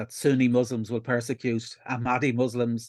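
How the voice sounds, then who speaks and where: A man with an Irish accent, recorded with a dry, close sound with no echo against a quiet background. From Ireland. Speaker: atheist activist. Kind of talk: interview. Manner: halting.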